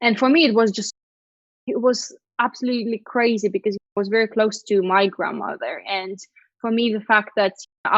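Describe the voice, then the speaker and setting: A woman with a Russian accent, medium pitch, fairly even intonation and a moderate pace, in a dry, close sound with no echo. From Lithuania. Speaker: PR agency founder. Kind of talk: interview.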